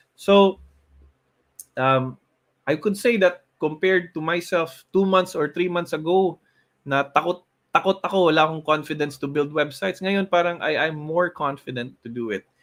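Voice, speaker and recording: With a Filipino accent, a man of fairly high pitch speaks at a moderate pace with ordinary pitch variation. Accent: Cebuano-accented English. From Philippines, Cebu. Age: 40s. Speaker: motivational show host. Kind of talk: motivational talk in Taglish.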